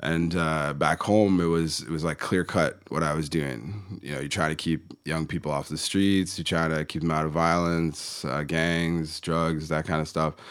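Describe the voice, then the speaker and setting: A man with a Canadian accent speaks in a very deep, low pitch and fairly even intonation, on a very clean recording with a silent background. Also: moderate pace. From Ontario, Canada (Kitchener). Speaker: business mentor, coach and author. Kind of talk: casual interview.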